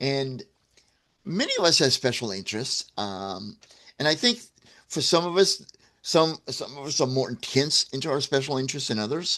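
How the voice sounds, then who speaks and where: Over a quiet background, a man speaks at a moderate pace with very wide pitch swings and long, frequent pauses. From US Midwest, St. Louis, Missouri. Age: 60s. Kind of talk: livestream talk to viewers. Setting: livestream. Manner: casual, with frequent fillers and restarts.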